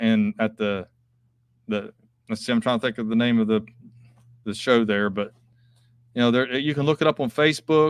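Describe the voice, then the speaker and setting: A man with an Appalachian accent talks at a fairly quick pace and medium pitch. The sound is dry and close with no echo, on a very clean recording with a silent background. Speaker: coin dealer. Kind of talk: live stream chat and auction. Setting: live video stream from coin shop.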